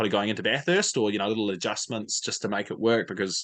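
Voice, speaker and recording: A man at a very fast pace, medium pitch and fairly even intonation, with a New Zealand accent. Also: quiet background. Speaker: motorsport fan content creator. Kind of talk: casual chat. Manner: many fillers and repetitions.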